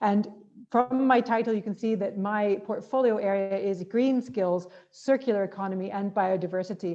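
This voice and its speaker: This woman talks at a moderate pace in a medium pitch, her intonation fairly even. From Canada. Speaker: politician, government minister. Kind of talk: conference talk.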